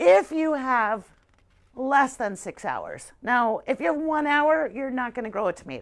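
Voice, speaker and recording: A woman is speaking. The background is quiet. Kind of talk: tutorial. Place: shop.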